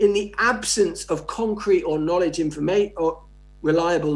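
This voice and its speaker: A man with an English accent talks at a high pitch and a moderate pace, his intonation lively, with audible room echo around him. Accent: received pronunciation. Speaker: sociology professor. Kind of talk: lecture. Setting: conference keynote.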